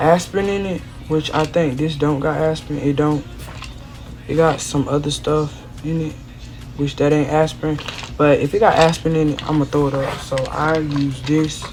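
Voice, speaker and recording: In a quiet voice with monotone, flat intonation, someone speaks at a moderate pace amid audible room echo and background music. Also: woman, very deep, low pitch for a woman. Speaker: vlogger. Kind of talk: casual vlog unboxing.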